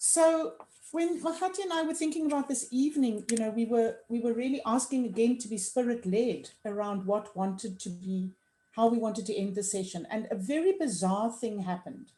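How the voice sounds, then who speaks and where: Her fairly high pitch swinging very widely, a woman talks at a fairly quick pace. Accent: South African. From South Africa. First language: Afrikaans. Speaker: dialogue facilitator. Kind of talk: reflective conversation.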